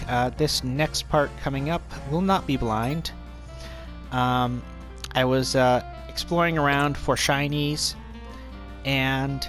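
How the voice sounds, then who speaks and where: A man speaks at a very slow pace, leaving long, frequent pauses, with very even loudness. Music plays in the background. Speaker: let's play commentator. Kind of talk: casual gameplay commentary. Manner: stuttering, hesitant.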